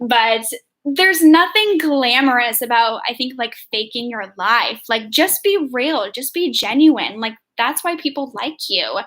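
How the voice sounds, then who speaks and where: This woman has a high pitch and a bright, sharp tone. She talks at a fairly slow pace with lively intonation. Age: 20s. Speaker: part-time online reseller, YouTuber. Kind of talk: casual livestream chat. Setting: YouTube livestream. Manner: casual, chatty with many fillers.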